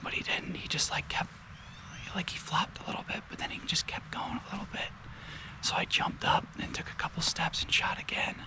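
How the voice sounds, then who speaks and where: Whispering at a fairly quick pace, a man can be heard over noticeable background noise. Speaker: hunter and vlogger. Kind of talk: casual vlog narration. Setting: outdoors. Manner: soft-spoken.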